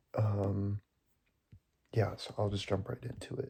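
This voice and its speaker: Soft-spoken delivery at a fairly slow pace. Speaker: student. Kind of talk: class assignment recording. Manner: hesitant, many fillers.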